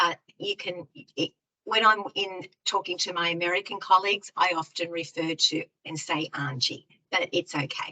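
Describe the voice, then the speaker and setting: The voice has a bright, sharp tone and an Australian accent, with fairly even intonation at a moderate pace. The sound is dry and close, without echo. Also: woman, fairly low pitch for a woman. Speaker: early years education specialist. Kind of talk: online presentation. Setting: online webinar.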